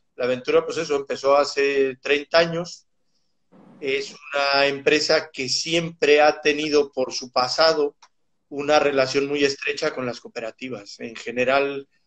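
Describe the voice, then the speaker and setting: Someone speaks with a Mexican accent at a fairly slow pace and with fairly even intonation. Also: man, fairly high pitch for a man. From Mexico City. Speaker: animal nutrition scientist. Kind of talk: interview.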